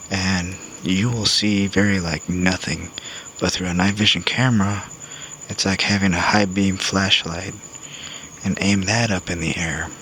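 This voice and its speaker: A man with a very deep, low pitch speaks in a monotone, flat way at a fairly slow pace. Long, frequent pauses and noticeable background noise run through the clip. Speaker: navy veteran, former corpsman. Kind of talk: casual talk to camera. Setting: outdoors. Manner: calm.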